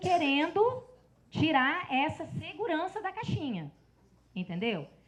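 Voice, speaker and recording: A woman speaks at a very slow pace. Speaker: lecturer on public pensions. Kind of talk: lecture. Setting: seminar with audience and slides.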